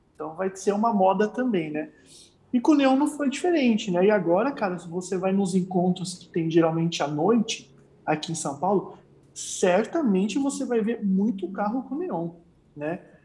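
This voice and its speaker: With lively intonation and a moderate pace, a man speaks in a high pitch with a dark, mellow tone. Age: 20s. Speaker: car enthusiast and content creator. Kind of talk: casual chat.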